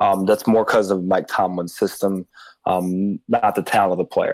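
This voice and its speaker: Monotone, flat delivery at a moderate pace over music in the background. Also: man. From Chicago area, US Midwest. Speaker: fantasy football analyst. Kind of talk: casual chat.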